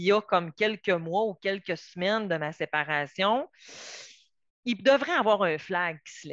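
At a very slow pace, a woman speaks in a medium pitch with lively intonation, the sound dry and close with no echo. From Quebec, Saguenay–Lac-Saint-Jean. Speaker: psychotherapist and family mediator. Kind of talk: lecture. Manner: hesitant, many fillers.

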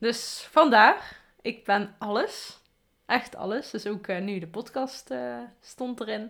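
Her pitch fairly high and its variation ordinary, a woman speaks at a very slow pace. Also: big swings in loudness. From Afferden, Limburg, Netherlands. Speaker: podcast host. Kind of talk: casual chat.

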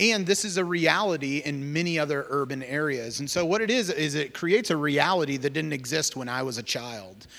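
In a plain, everyday voice, a man with an American accent talks at a fairly quick pace in a fairly high pitch, with lively intonation and hardly any pauses. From Iowa, US Midwest. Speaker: missionary working with refugees. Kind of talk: church talk about ministry. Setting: church service.

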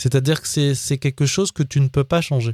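Heard on a very clean recording against a silent background, the tone comes across dark and mellow. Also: man, dry, close sound with no echo. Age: 40s. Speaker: podcast host. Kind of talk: casual monologue. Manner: halting, many fillers and repetitions.

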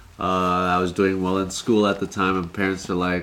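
A man with an American accent and a very deep, low pitch at a moderate pace, with noticeable background noise. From Southern California, Anaheim area. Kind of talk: casual chat.

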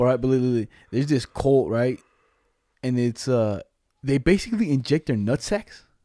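On a very clean recording with a silent background, a man with medium pitch and a dark, mellow tone talks at a moderate pace with long, frequent pauses and ordinary pitch variation, the sound dry and close with no echo. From Mexican-American. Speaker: podcast co-host. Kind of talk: casual chat.

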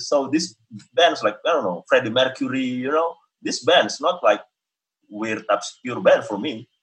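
At a moderate pace, a man speaks with an Indonesian accent. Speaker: experimental vocalist and musician. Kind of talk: interview, conversational. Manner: hesitant, with fillers.

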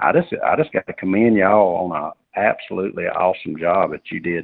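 A man talks at a fairly quick pace with a Southern US accent. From North Carolina. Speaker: farmer. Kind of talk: radio interview. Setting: phone call.

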